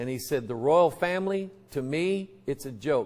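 A man's fairly high, normal speaking voice, a normal speaking voice at a fairly slow pace with lively intonation. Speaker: pastor. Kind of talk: sermon. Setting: church. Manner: casual, conversational. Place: church.

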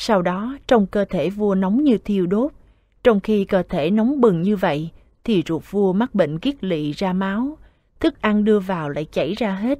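Dark and mellow in tone, a woman speaks with a Southern Vietnamese accent at a fairly slow pace. Her intonation is lively, and the sound is dry and close with no echo. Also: medium pitch for a woman. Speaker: scripture reader. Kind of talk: Buddhist scripture reading.

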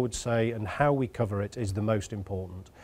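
A moderate pace carries the speech. Its tone is dark and mellow. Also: man. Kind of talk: interview answer. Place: studio. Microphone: lapel.

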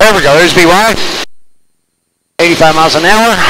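Loud background noise behind a man's voice, the sound dry with no echo. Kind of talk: cockpit callouts and flight instruction. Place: plane. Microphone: headset.

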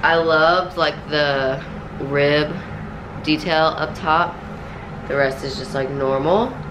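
Against noticeable background noise, a woman with a very deep, low voice talks at a very slow pace, her intonation fairly even and her speech broken by long, frequent pauses. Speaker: lifestyle vlogger. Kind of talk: casual vlog chat. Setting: in a car. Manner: chatty, scattered.

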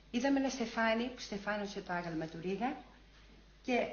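A woman's voice at a moderate pace, ordinary pitch variation, audible room echo and light background noise. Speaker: former student demonstrator giving testimony. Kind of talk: archival recollection, testimony. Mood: moved, reminiscing. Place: home room.

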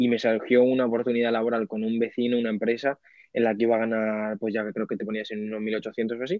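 The delivery comes at a very fast pace in a monotone, flat intonation. The sound is dry with no echo, and the background is quiet. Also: man. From Spain, Albacete; Spain. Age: 20s. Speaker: online reseller and content creator; online reseller, content creator. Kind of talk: casual interview chat. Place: office. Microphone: video call.

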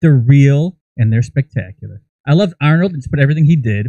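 With a dark, mellow tone and medium pitch, a man talks fast with lively intonation in a dry, close sound with no echo.

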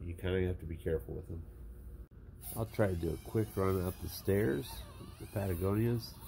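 A man with a very deep, low pitch and vocal fry, fairly quick in pace, with ordinary pitch variation and long, frequent pauses. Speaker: RC hobbyist reviewer. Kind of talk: casual product review to camera.

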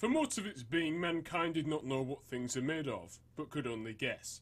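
A man with a Northern English accent talks at a fairly high pitch. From Northern England. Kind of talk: reading aloud a text on atomic theory.

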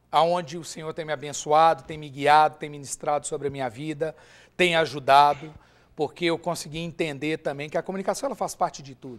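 His loudness swings widely while this man keeps his intonation fairly even and his pace fairly quick. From Brazil, Minas Gerais (Ipatinga); Minas Gerais, Brazil. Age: 40s. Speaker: businessman, former volleyball player; interview guest. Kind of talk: interview testimony. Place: studio. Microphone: lapel.

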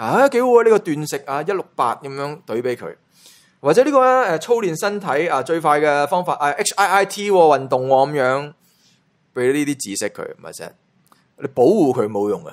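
Very wide pitch swings stand out on this very clean recording with a silent background. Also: man, fairly high pitch for a man, moderate pace. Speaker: entertainment gossip YouTuber. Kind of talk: casual commentary monologue. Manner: animated.

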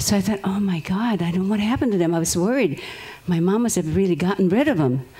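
Lively in intonation and very fast, a woman speaks in a dark, mellow tone that is somewhat breathy. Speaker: audience member. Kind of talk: testimony. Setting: stage with audience. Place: tent. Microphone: handheld.

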